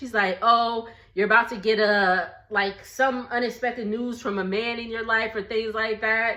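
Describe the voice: With audible room echo, a woman speaks with an American accent in a fairly bright tone.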